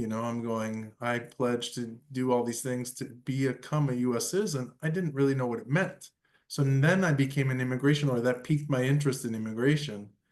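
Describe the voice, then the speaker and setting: The speaker uses a normal speaking voice with an American accent. The pace is fairly quick, with ordinary pitch variation and hardly any pauses. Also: man. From New York City, raised from age five; born Argentina. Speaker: immigration lawyer. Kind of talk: interview podcast.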